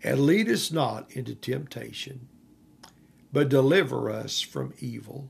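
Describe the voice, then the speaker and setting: The speaker is a man. He goes at a very slow pace. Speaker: bishop and podcast host. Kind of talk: sermon-style teaching with fervent prayer at the end. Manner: fervent, exuberant, caught up in worship; animated, emotional.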